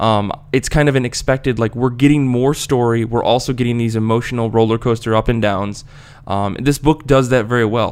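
A man with an American accent talks in a normal speaking voice at a medium pitch. His pace is fairly quick and his intonation fairly even. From United States. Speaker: podcast host. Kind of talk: casual chat.

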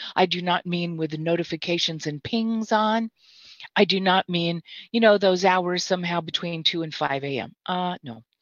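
Keeping a moderate pace, a woman with an unremarkable speaking voice has a fairly low pitch with ordinary pitch variation. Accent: American. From Mississippi, US South. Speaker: therapist and trainer. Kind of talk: casual interview. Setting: video call live stream.

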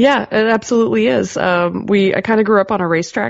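Lively intonation runs through a woman's very fast speech. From Canada, Ontario (Georgian Bay). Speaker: pinball parts company staffer. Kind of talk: casual interview.

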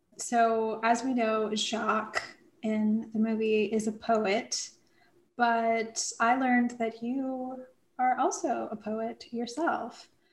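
The woman's pitch is fairly high and her intonation fairly even. She talks very slowly. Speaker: podcast co-host. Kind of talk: casual chat.

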